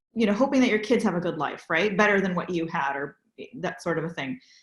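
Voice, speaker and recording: This woman has a West Coast US accent. Her voice is somewhat breathy, with lively intonation. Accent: General American, West Coast. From San Francisco Bay Area. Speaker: interfaith interviewer. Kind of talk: interview.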